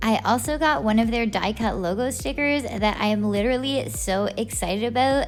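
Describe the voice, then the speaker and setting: At a moderate pace, a woman with a fairly high pitch speaks through audible room echo and noticeable background noise. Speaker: slime reviewer YouTuber. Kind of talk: product unboxing review. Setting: home at night. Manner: quiet, soft-spoken.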